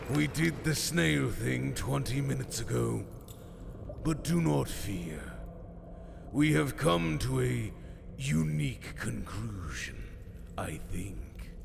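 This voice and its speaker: A man speaks in a put-on character voice at a fairly slow pace. Long pauses come often, over loud background noise. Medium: audio drama. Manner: formal, measured.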